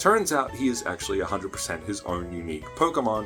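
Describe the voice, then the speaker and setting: Music plays in the background as a man with an Australian accent talks at a moderate pace. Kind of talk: casual talk to camera. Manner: upbeat, chatty.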